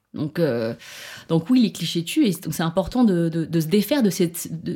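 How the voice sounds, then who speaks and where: On a very clean recording with a silent background, a woman speaks at a moderate pace. Her voice is somewhat breathy, with a dark, mellow tone and fairly low pitch. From France. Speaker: activist and food blogger. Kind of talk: interview. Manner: halting.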